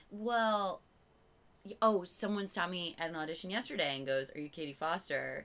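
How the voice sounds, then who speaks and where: A woman speaks at a moderate pace with an American accent and ordinary pitch variation. Hers is a plain, everyday voice, fairly low in pitch. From Virginia, US. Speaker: comedian. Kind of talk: casual chat. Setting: at home in the host's room. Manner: giggly, laughs constantly.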